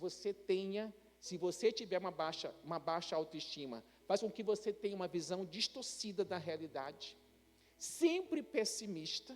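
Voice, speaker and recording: At a fairly slow pace, a man with a high voice speaks with lively intonation. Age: 60s. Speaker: pastor. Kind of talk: sermon. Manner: conversational, some hesitations.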